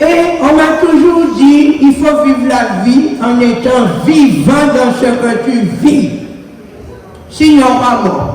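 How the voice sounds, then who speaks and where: Amid noticeable background noise and audible room echo, a woman with a high pitch speaks at a very slow pace with ordinary pitch variation. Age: 80s+. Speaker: senior attendee. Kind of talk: casual speech.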